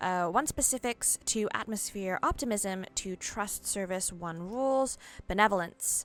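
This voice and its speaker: Against a silent background in a very clean recording, a woman with a plain, everyday voice speaks at medium pitch and a fairly slow pace, her pitch varying in an ordinary way. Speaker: video game streamer. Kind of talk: live gameplay commentary, reading game text aloud. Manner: casual, thinking aloud with fillers.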